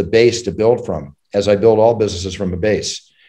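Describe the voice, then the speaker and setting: A man's dark, mellow voice at medium pitch, with fairly even intonation. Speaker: UFC ring announcer. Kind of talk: interview answer.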